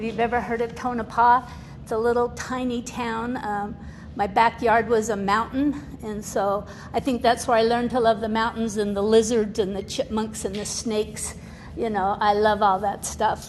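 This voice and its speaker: A woman speaks in a monotone, flat delivery over noticeable background noise. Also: moderate pace. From Utah (born in Nevada, moved at six). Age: 70s. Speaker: recovering alcoholic, guest speaker. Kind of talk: testimony. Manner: casual, chatty.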